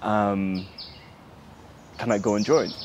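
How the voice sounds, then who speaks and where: Amid noticeable background noise and audible room echo, a man speaks at a fairly slow pace and fairly low pitch. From Sudan, raised in diaspora. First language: Arabic. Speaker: human rights activist. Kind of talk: interview. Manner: hesitant, many fillers.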